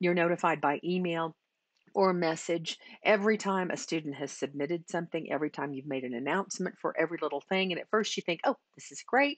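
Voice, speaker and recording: A woman talks in a normal speaking voice, fairly low in pitch, at a fairly quick pace with lively intonation. The sound is dry with no echo against a quiet background. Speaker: teacher trainer. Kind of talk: tutorial. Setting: screen recording. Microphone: webcam.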